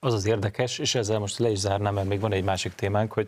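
The speaker is a man with a fairly low pitch. He talks very fast. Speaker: talk show host. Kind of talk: TV political discussion. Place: studio. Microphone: lapel.

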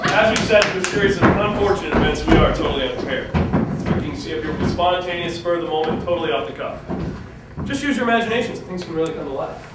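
Talking at a very fast pace, a man is heard with audible room echo. Loud background noise runs behind him. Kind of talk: improv comedy performance. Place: stage. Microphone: camera far.

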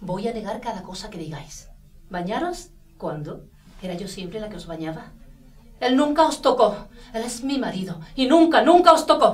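A woman at a moderate pace, with very wide pitch swings and big swings in loudness. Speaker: actress playing a mother. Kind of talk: dramatic acted dialogue. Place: home room.

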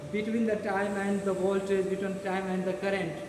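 A man speaks in a high-pitched voice. Noticeable background noise and audible room echo come through. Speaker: product demonstrator. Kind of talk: product demonstration explanation. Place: hall. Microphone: camera far.

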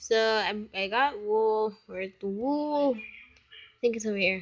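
Quiet and fairly high in pitch, a woman speaks with ordinary pitch variation. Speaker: gaming YouTuber. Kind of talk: gameplay commentary.

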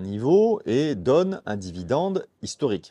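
With very wide pitch swings, a man talks in a dark, mellow tone, the sound dry with no echo and the background quiet. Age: 50s. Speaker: personal finance youtuber. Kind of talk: tutorial. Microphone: lapel.

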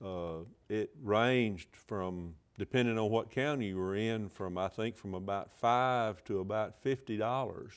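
With an Alabama accent, a man talks at a fairly low pitch with ordinary pitch variation over a quiet background. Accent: Southern US (Alabama). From northwest Alabama. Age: 60s. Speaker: state senator and physician; state senator. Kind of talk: political interview. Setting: TV studio. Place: studio. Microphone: lapel.

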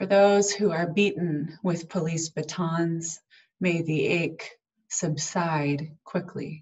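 A somewhat breathy woman's voice, fairly low in pitch, at a very slow pace with fairly even intonation over a quiet background. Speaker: minister. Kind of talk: prayer. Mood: solemn, slow, measured. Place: home room. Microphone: webcam.

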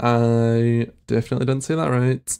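The voice carries a Scottish accent. Its tone is dark and mellow. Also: man, quiet background. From Scotland. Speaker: reaction content creator. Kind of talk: casual reaction commentary to camera. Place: home room. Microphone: studio mic.

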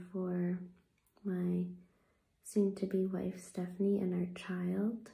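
Soft-spoken and soothing, a woman talks very slowly at a medium pitch in a flat monotone against a quiet background. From Canada. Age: 20s. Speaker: ASMR content creator. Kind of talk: guided meditation, gentle affirmations. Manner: soft-spoken, slow and soothing; gentle, reassuring, unhurried pacing. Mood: earnest, reflective. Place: home room. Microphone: phone near.

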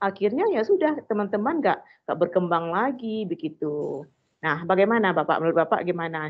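Talking at a fairly quick pace, a woman uses lively intonation and big swings in loudness. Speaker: teacher participant. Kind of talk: question. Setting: video call. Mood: complaining, concerned. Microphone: video call.

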